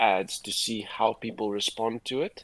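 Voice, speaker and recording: Recorded very clean with a silent background, a man with a South African accent talks at a fairly slow pace, medium in pitch and fairly even in intonation. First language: Afrikaans. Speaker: livestream host, advertising creative. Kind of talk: casual livestream chat. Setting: livestream.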